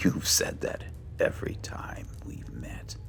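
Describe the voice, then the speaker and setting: Whispering in a put-on character voice, a man speaks at a fairly slow pace against clear background noise. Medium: game stream. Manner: wry, unhurried.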